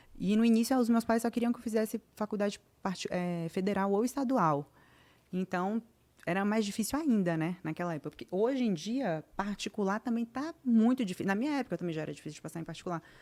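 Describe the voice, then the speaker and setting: At a medium pitch and fairly quick pace, a woman talks with lively intonation and a dark, mellow tone. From Brazil, Vitória da Conquista, southern Bahia. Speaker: podcast guest, doctor. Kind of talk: casual chat interview.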